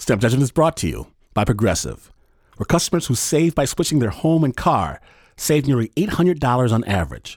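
With vocal fry and very wide pitch swings, a man talks at a moderate pace in a dry, close sound with no echo. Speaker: podcast host and storyteller. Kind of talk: scripted narration. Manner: dramatic.

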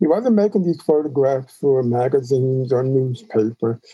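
In a dark, mellow tone, a man speaks at a medium pitch with ordinary pitch variation and an American accent. The sound is dry and close, with no echo. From New York (Queens). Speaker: photographer. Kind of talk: interview.

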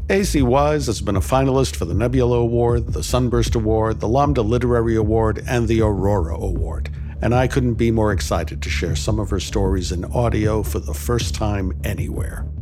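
A man with a very deep, low pitch talks fairly quickly, with hardly any pauses. His pitch swings very widely over noticeable background noise. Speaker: podcast host and editor. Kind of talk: scripted show introduction. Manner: warm and enthusiastic.

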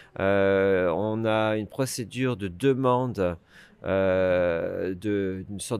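A man with a fairly low pitch and fairly even intonation is heard in a very clean recording with a silent background. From France. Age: 40s. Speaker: campaigner for EU citizens' rights. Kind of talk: interview.

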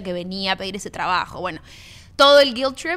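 A woman is speaking. Her tone is bright and sharp. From Argentina-born, raised in Miami. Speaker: former TV actress turned coach. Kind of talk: casual interview.

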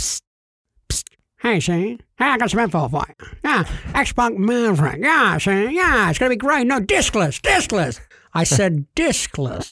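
A put-on character voice, fairly high in pitch, swings very widely up and down at a moderate pace on a very clean recording with a silent background. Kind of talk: hushed, furtive.

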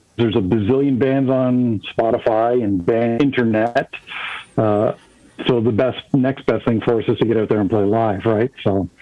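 Against noticeable background noise, a man speaks at a moderate pace and medium pitch, with very even loudness and fairly even intonation. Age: 40s. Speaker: musician. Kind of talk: casual chat.

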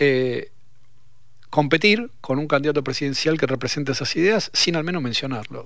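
This man has a fairly high pitch and ordinary pitch variation. He speaks at a moderate pace. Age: 50s. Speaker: sociologist, professor. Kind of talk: radio interview. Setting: radio studio.

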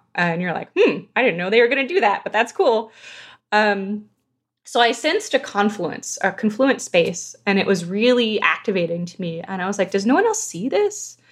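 Using a plain, everyday voice, a woman with an American accent speaks at a fairly high pitch and moderate pace with lively intonation. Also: quiet background. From Southern California. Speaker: video game narrative director. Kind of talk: casual interview.

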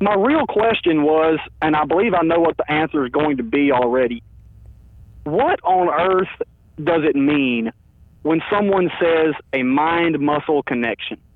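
At a fairly slow pace, a man uses an ordinary speaking voice, fairly high in pitch with ordinary pitch variation and very even loudness. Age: 20s. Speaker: caller, powerlifter and youth coach. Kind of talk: casual chat. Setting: phone call.

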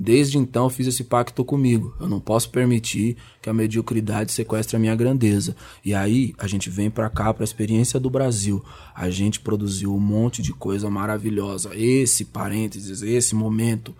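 This man has a dark, mellow tone, a fairly low pitch, and fairly even intonation. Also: moderate pace. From Brazil. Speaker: rapper. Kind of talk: interview.

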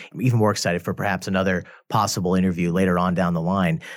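At a very fast pace, a man with a very deep, low pitch and an American accent talks with ordinary pitch variation in a very clean recording against a silent background. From US Midwest. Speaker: podcast host and professor. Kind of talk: scripted narration; interview conversation. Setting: studio.

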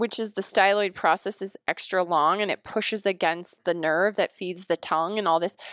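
On a very clean recording with a silent background and a dry, close sound with no echo, a woman uses an ordinary speaking voice at a medium pitch, moving at a moderate pace with fairly even intonation and hardly any pauses. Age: 40s. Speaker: naturopathic doctor and podcast host. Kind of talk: casual interview chat.

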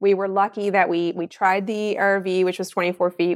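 With a Newfoundland accent, a woman talks fairly quickly at a medium pitch in a flat, monotone delivery, in a very clean recording with a silent background. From Newfoundland (Mount Pearl). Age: 40s. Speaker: entrepreneur and tattoo artist. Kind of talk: interview.

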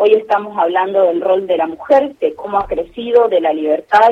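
A woman with a plain, everyday voice, pitched in the medium range. She talks at a moderate pace with ordinary pitch variation. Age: 30s. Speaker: senator. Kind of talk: radio interview.

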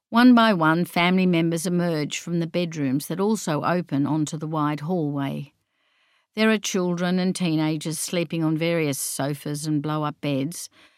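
In an Australian accent, a woman speaks at a moderate pace with ordinary pitch variation on a very clean recording with a silent background. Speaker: author and gardening writer. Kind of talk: reading aloud.

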